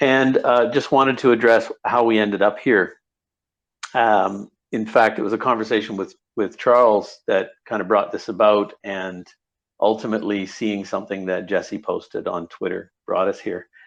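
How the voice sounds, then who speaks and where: A man talks at a moderate pace. The background is quiet. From Canada. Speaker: project lead and cybersecurity forensic expert. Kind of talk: online audio-room panel introduction. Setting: Twitter audio space, recorded.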